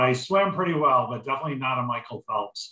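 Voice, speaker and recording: A man speaks at a fairly quick pace, his pitch varying in an ordinary way. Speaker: bank human resources executive. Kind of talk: career panel talk. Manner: loud; animated.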